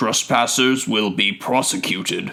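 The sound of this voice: Putting on a character voice, a man speaks slowly at a fairly low pitch, gruff with vocal fry and a bright, sharp tone, using ordinary pitch variation.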